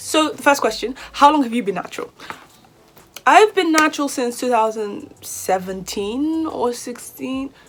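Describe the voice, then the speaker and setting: A high-pitched woman's voice, animated in tone with lively intonation, over noticeable background noise. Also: fairly slow pace. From Nigeria. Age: 20s. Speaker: hair vlogger, university student. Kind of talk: casual vlog talk to camera.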